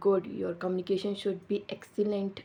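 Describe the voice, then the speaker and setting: A woman speaks in a medium pitch with monotone, flat intonation. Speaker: YouTuber, English learner. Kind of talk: vlog introduction. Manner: halting, many fillers.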